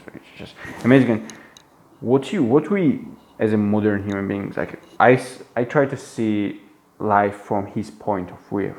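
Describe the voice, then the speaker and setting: A man with a non-native accent at a fairly low pitch and moderate pace, with ordinary pitch variation and big swings in loudness. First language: not English. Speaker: book reviewer. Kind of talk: book commentary monologue. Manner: halting, many fillers and restarts; animated.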